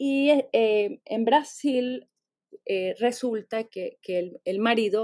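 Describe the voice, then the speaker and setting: This woman has a dark, mellow tone. Her intonation is lively. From Venezuela. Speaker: literature professor. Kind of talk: interview. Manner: halting, many repeated words.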